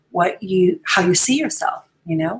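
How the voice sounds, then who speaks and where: Her voice is somewhat breathy. The woman keeps a moderate pace. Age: 60s. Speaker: podcast host and life coach. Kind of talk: solo podcast monologue. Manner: casual, hesitant with frequent fillers.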